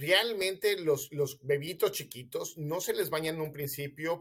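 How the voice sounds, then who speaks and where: A man with a Mexican accent talks at a fairly slow pace and a fairly high pitch. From Mexico City. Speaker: physician. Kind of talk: interview, explaining health myths.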